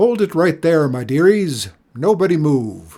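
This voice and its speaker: A man performs a put-on character voice, bellowing and booming. His pitch is fairly high. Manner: bellowing, welcoming.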